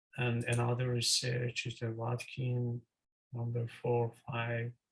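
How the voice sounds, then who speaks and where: The speaker has a non-native accent and talks at a very slow pace, somewhat breathy, with monotone, flat intonation. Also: man, medium pitch for a man. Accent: non-native English accent (self-remarked). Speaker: student presenter. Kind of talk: presentation. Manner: halting.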